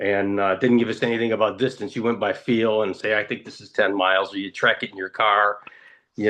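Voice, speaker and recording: A man talks at a moderate speed against a quiet background. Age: 60s. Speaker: triathlon coach. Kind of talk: casual chat. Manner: halting.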